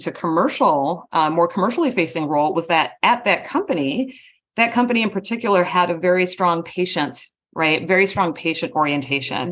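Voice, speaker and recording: Over a quiet background, a woman with an unremarkable speaking voice talks at a fairly quick pace and a fairly low pitch, with lively intonation and very even loudness. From US Midwest, Wisconsin. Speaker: marketing executive, former engineer. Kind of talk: interview.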